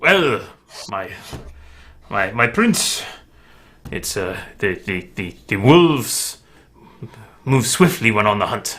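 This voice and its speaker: A man does a put-on character voice at medium pitch. His pace is fairly slow, with long, frequent pauses. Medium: actual play. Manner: deferential, ingratiating.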